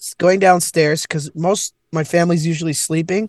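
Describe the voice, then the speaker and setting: A man with a Canadian accent, high-pitched, with ordinary pitch variation, at a moderate pace, in a dry, close sound with no echo. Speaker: comedian. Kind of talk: casual chat. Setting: in a car, remote call. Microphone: laptop on mobile hotspot.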